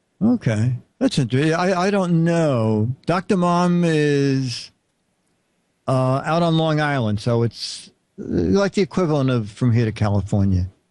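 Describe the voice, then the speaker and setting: With a Brooklyn accent, the speaker goes at a fairly slow pace with very wide pitch swings over a quiet background. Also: man, fairly high pitch for a man, very even loudness. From Brooklyn, New York. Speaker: show host. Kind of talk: casual chat.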